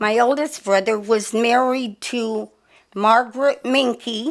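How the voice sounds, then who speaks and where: A woman speaks in an American accent at a fairly high pitch. Her pace is very slow. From Sacramento area, California. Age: 90s. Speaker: longtime local resident. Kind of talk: oral history interview. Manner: halting.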